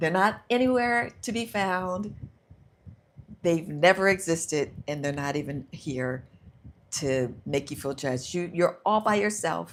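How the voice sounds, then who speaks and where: A woman with an American accent has an ordinary speaking voice, fairly low in pitch, delivered at a fairly slow pace with lively intonation. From United States. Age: 60s. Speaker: self-help livestreamer. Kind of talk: guided visualization on a livestream. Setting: live stream. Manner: slow and soothing.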